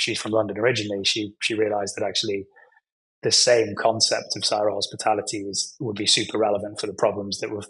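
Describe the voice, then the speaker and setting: A man speaks with a British accent at a fairly quick pace. His pitch sits fairly low. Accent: British accent, remarked by himself. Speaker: nonprofit executive in hospitality training. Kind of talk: podcast interview. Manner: conversational with frequent fillers and self-corrections.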